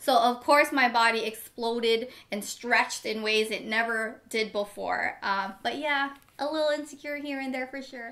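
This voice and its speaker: The woman's tone is bright, sharp and animated. She has a fairly high pitch and keeps a moderate pace. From Long Beach, California (born in Manila). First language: Tagalog. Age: 30s. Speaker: family vlogger. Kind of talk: casual Q&A chat to camera.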